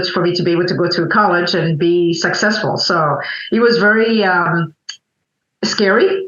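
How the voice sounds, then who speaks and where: This woman speaks at a moderate pace with a fairly low pitch and ordinary pitch variation. Her loudness stays very even, and the room echo is audible. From Burundi (Bujumbura). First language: French and Kirundi. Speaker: coffee importer, entrepreneur. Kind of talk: interview conversation. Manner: halting, many fillers.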